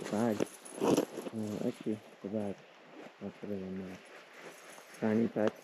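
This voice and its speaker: Quiet and whispering, a man speaks with long, frequent pauses. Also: fairly slow pace. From Turkey. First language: Turkish. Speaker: travel vlogger. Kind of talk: casual vlog narration. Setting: outdoors on a hiking trail. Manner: halting, with many fillers; quiet, half-whispering.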